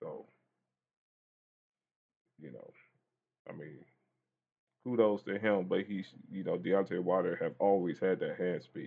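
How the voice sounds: A man speaks at a fairly slow pace in a low voice with vocal fry, a slightly husky edge and ordinary pitch variation.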